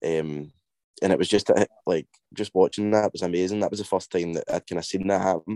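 A man with a Scottish accent speaks at a fairly quick pace and a very deep, low pitch. His tone is dark and mellow, his intonation fairly even, and the sound dry and close with no echo. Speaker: indie band singer. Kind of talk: casual interview.

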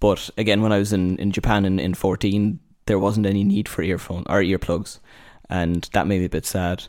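A man with a Cork accent talks at a fairly low pitch in a monotone, flat intonation. His loudness stays very even on a very clean recording with a silent background. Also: moderate pace. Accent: Cork Irish. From Ireland, Cork. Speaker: former motorsport journalist. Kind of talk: casual interview.

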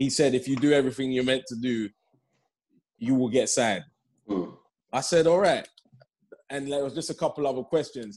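In a London accent, a man of medium pitch and ordinary pitch variation talks at a fairly quick pace with long, frequent pauses, on a very clean recording with a silent background. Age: 30s. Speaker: professional footballer. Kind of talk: casual chat.

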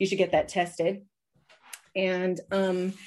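A woman with an American accent speaks at a fairly slow pace in a plain, everyday voice, her pitch medium. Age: 40s. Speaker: cult survivor. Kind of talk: interview. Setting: video call.

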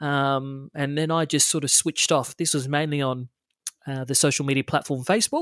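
With an Australian accent, a man speaks at a moderate pace in a fairly high pitch and fairly even intonation. The very clean recording has a silent background and a dry, close sound with no echo. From Australia, western Sydney. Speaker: TV reporter. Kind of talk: interview. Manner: halting, many fillers.

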